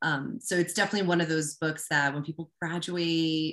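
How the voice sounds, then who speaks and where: Her very deep, low voice holds a fairly even intonation as this woman speaks. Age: 40s. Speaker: life coach. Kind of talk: interview. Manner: halting.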